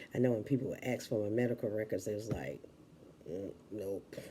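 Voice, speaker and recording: A woman speaks softly. Her pitch varies in an ordinary way. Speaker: vlogger. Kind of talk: casual chat. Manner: soft-spoken.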